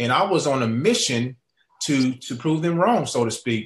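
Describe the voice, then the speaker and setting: A somewhat breathy man with an American accent, lively intonation and a moderate pace. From Oklahoma. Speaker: network marketing entrepreneur. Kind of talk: sales webinar presentation. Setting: online webinar. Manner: halting, repetitive.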